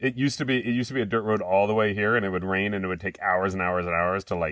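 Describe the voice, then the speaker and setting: In a quiet background, a man with a fairly low pitch and ordinary pitch variation talks at a very fast pace with hardly any pauses. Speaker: chocolate company co-host. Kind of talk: casual chat. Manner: loud.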